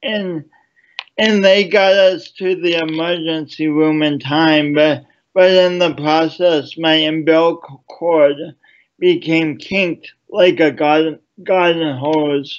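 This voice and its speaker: Fairly high in pitch, a man speaks very slowly. His intonation stays fairly even. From Sioux Falls, South Dakota. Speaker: motivational speaker and poet. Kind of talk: interview. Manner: repeats words, halting.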